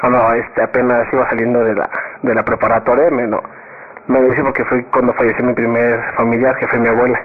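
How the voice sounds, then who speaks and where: A man talks at a fairly quick pace and a medium pitch. Noticeable background noise runs behind him. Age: 20s. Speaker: university student. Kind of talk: casual interview. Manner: halting.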